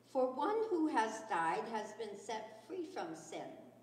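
In a room with audible echo, a woman speaks at a very slow pace with very wide pitch swings. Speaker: scripture reader. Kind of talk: scripture reading. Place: church. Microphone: podium.

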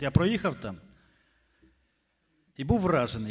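Here a man talks at a fairly quick pace with big pitch swings. His voice has a slightly husky edge.

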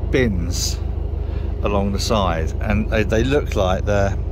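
A man speaks at a very slow pace. Noticeable background noise sits under a dry sound with no echo. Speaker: narrowboat owner vlogger. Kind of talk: casual vlog chat. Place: boat.

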